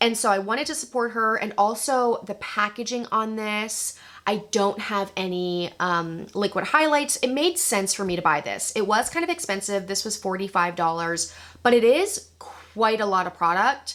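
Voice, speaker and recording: A woman with a plain, everyday voice speaks at a fairly high pitch and a moderate pace with lively intonation. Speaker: beauty YouTuber. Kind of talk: casual product review. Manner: casual, chatty.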